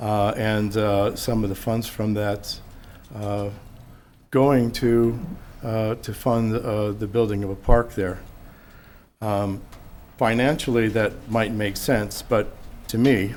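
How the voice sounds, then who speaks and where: Speaking very slowly with long, frequent pauses, a man with a fairly low pitch delivers a monotone, flat line amid audible room echo. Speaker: public commenter at county council meeting. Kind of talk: public comment. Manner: halting.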